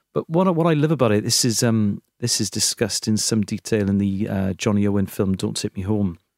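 A man with a Welsh accent speaks at a fairly quick pace in a fairly low voice, his pitch varying in an ordinary way, on a very clean recording with a silent background and a dry, close sound free of echo. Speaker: comedian. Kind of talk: casual chat.

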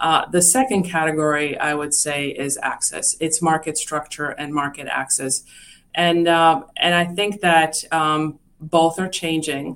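With a Czech accent, this speaker talks at a fairly slow pace with fairly even intonation. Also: woman, very deep, low pitch for a woman. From Czechoslovakia. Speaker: investment firm executive. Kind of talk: interview. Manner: hesitant with many fillers.

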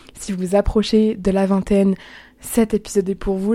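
Her voice is medium in pitch, with a dark, mellow tone. The woman speaks at a fairly quick pace in a monotone, flat intonation. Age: 20s. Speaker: student podcaster. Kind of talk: casual personal podcast monologue.

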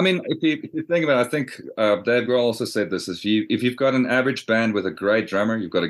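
Over a quiet background, a man talks at a very fast pace with a medium pitch, very wide pitch swings and vocal fry. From South Africa. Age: 30s. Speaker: musician. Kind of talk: interview.

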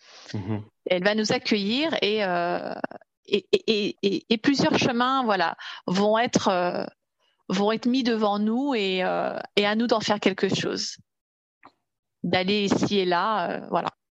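Pausing long and often, a woman speaks at a very slow pace with ordinary pitch variation in a dry, close sound with no echo. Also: medium pitch for a woman. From Paris region, France. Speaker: Nordic walking coach. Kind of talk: casual interview.

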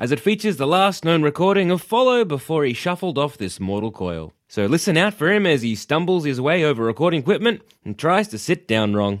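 Talking at a fairly quick pace with an Australian accent, a man with a fairly high pitch moves through very wide pitch swings on a very clean recording with a silent background. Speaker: comedy podcast co-host. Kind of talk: scripted announcement. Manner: distinctive speaking style mocked by co-host.

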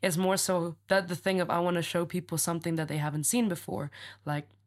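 A man's high-pitched voice at a very fast pace, with fairly even intonation, in a very clean recording with a silent background. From Indonesia. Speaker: theater technician and artist. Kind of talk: casual chat.

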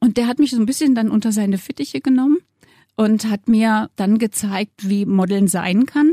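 This woman has a fairly high pitch and a dark, mellow, somewhat breathy tone. She keeps a moderate pace with ordinary pitch variation. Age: 60s. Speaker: model. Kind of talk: interview.

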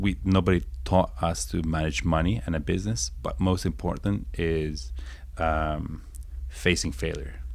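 Vocal fry marks a man's speech, delivered at a moderate pace with lively intonation. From northern Italy, raised there from age six; born in England. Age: 30s. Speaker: startup founder. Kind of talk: interview conversation.

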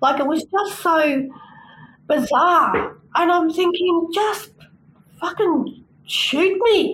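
Against noticeable background noise, a woman with an Australian accent speaks at an extremely high pitch with ordinary pitch variation. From New South Wales, Australia. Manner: soft-spoken.

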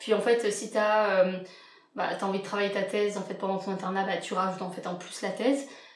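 Monotone, flat intonation moves at a fairly quick pace with big swings in loudness, audible room echo and noticeable background noise. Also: woman, medium pitch for a woman. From France, Lyon. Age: 20s. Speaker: general practice resident. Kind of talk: casual interview.

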